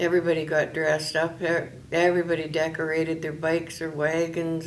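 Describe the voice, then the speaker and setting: Amid noticeable background noise and audible room echo, a woman with a fairly low voice talks fairly quickly in a monotone, flat intonation. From northwestern Ontario, Canada. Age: 60s. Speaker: retired volunteer interviewee. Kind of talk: oral history interview. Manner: hesitant with many fillers.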